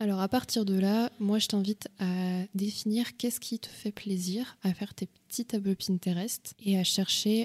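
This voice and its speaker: A woman at a medium pitch speaks fairly slowly with hardly any pauses, fairly even intonation and a somewhat breathy quality, recorded dry and close with no echo. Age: 20s. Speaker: podcast host, interior design worker. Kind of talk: casual solo talk with advice.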